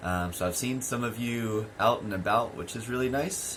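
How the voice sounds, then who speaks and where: A fairly slow delivery with lively intonation and room echo that can be heard. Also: man. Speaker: English teacher. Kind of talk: online lesson. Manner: clear, careful speech; hesitant with many fillers.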